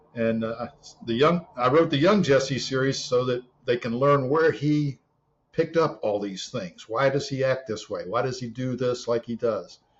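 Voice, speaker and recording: At a moderate pace, a somewhat breathy man speaks with a medium pitch and ordinary pitch variation. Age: 60s. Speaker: author and former Marine. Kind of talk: interview conversation. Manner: hesitant with repeated words.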